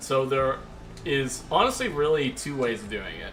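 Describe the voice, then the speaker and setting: A man with a fairly high pitch at a moderate pace, with audible room echo and noticeable background noise. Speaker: gaming streamer. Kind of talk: live stream gameplay commentary. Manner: casual, filler-heavy.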